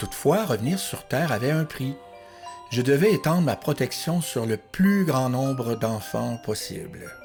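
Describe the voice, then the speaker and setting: Music plays behind a man who speaks fairly slowly at a medium pitch, his voice making very wide pitch swings. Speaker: narrator. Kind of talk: audiobook story narration.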